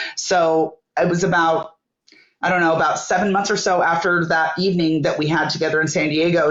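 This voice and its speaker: In an American accent, a woman talks at a fairly quick pace with a fairly low pitch. Her intonation is monotone and flat, and room echo is audible. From Northern California. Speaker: entrepreneur. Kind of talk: interview. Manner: halting.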